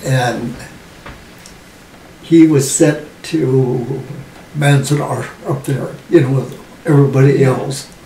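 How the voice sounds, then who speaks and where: With an American accent and a fairly high pitch, a man talks at a very slow pace amid audible room echo and noticeable background noise. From US West, Los Angeles area. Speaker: WWII generation elder interviewee. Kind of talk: oral history interview.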